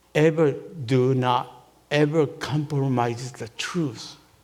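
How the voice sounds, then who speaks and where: Speaking very slowly with a Japanese accent, a man uses a fairly high pitch. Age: 80s+. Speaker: minister. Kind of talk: testimony. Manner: halting.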